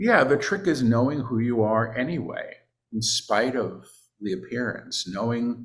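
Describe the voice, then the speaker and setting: A man's somewhat breathy voice at medium pitch and a very slow pace. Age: 60s. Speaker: spiritual teacher and channeler. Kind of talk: casual chat.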